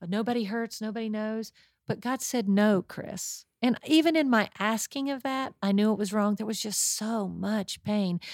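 In a very clean recording with a silent background, a woman uses an ordinary speaking voice, fairly high in pitch, with ordinary pitch variation at a moderate pace. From West Virginia. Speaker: pastor's wife. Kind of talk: testimony.

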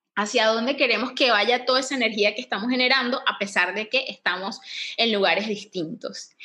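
A woman with a Venezuelan accent talks fairly quickly at a fairly high pitch, with ordinary pitch variation. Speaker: yoga teacher and podcast co-host. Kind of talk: casual chat. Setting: home living room.

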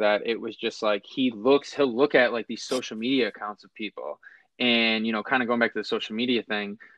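In an unremarkable speaking voice, a man talks fairly quickly at medium pitch with fairly even intonation. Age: 20s. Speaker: podcast host. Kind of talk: casual chat. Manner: fast, run-on speech with many fillers.

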